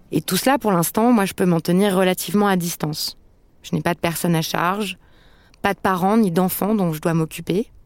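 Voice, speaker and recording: A woman with an unremarkable speaking voice talks at a moderate pace and medium pitch with ordinary pitch variation, in dry, close sound with no echo. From France. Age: 30s. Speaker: podcast host. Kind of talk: scripted narration.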